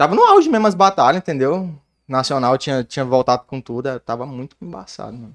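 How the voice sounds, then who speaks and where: A man talks in a normal speaking voice at a fairly quick pace. His pitch is medium and his intonation lively. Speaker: rapper. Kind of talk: casual chat.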